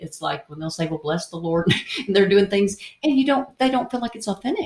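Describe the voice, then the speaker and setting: A woman talks at a very fast pace with a slight Tennessee accent and a medium pitch. Her voice is somewhat breathy. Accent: Southern US, Tennessee, slight. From Indiana, US Midwest. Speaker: co-author, radio host and artist. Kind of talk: casual interview chat.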